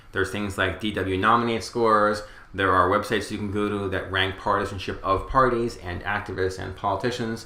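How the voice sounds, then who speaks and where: A man with an American accent speaks fairly quickly in a fairly low, monotone, flat voice, with audible room echo. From New York area (Westchester County). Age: 40s. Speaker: political pundit. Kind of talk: interview. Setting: small studio.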